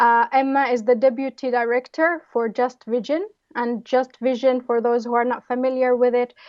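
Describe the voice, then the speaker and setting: A woman speaks at a high pitch with hardly any pauses. Her pace is moderate and her intonation fairly even. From Palestine, West Bank. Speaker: anthropologist and filmmaker, interviewer. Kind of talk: interview.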